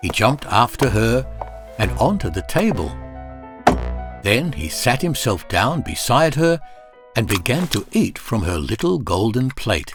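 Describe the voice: Faint music behind a man at medium pitch, with big pitch swings and a fairly slow pace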